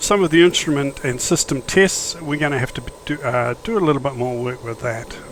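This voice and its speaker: Against noticeable background noise, a man with a fairly high pitch and ordinary pitch variation talks at a fairly quick pace, with hardly any pauses. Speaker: flight simulator YouTuber. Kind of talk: gameplay commentary. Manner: casual, hesitant with fillers.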